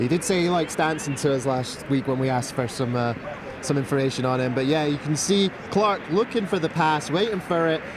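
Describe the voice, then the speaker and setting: A man with a Scottish accent speaks fairly quickly in a fairly high voice, with ordinary pitch variation and very even loudness. Noticeable background noise runs underneath. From Scotland. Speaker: sports commentator. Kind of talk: live commentary.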